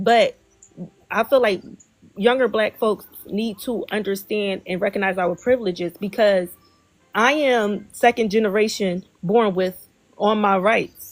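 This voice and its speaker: Speaking slowly-ish with long, frequent pauses, a woman keeps her medium-pitched voice fairly even in intonation. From Philadelphia, US. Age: 20s. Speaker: livestream host. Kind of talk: casual interview chat. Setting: livestream.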